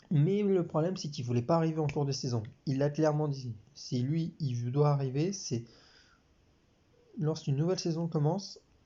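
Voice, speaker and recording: Long, frequent pauses break up a man's somewhat breathy speech at a moderate pace. His pitch is fairly high, with ordinary pitch variation. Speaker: sports commentator YouTuber. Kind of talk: casual talk to camera.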